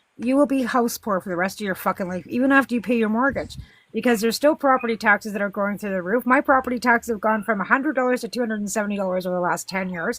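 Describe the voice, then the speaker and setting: A woman with a western Canadian accent speaks at a very fast pace. Her voice is fairly high, with ordinary pitch variation. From western Canada. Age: 50s. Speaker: political livestream host. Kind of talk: heated debate. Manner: animated.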